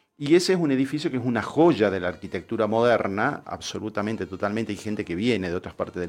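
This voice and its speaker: A man with a fairly low pitch speaks at a very fast pace with lively intonation against a quiet background. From Tucumán, Argentina. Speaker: radio host and architect. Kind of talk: casual radio interview. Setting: radio studio.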